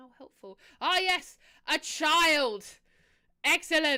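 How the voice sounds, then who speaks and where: The voice has a bright, sharp tone and a British accent. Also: woman. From Britain. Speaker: streamer. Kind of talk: casual gameplay livestream chat. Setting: livestream.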